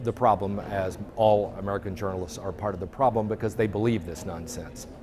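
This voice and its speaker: A man with an ordinary speaking voice, fairly low pitch, fairly even intonation, and a fairly quick pace. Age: 60s. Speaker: journalist and activist. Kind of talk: interview. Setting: conference venue.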